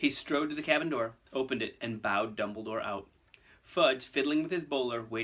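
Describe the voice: Simply plain reading aloud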